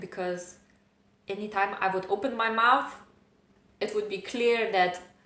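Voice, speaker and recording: A woman at a medium pitch, with ordinary pitch variation, is heard through audible room echo and noticeable background noise. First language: not English. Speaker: self-help vlogger. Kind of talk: personal vlog monologue. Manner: hesitant, with fillers.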